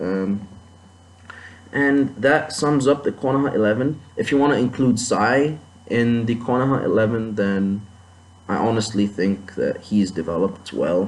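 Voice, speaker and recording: With a non-native accent, a man speaks at a very even loudness. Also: medium pitch for a man, ordinary pitch variation, fairly slow pace. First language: not English. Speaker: anime commentator. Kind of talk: video commentary monologue. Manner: halting, many fillers and restarts.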